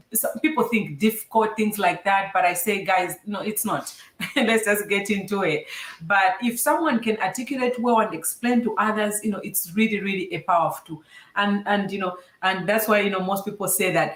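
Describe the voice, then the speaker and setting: A woman at a medium pitch and moderate pace, with ordinary pitch variation and noticeable background noise. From Zambia. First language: a Zambian language (English is second). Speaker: STEM show host, engineer. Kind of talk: casual interview. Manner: animated.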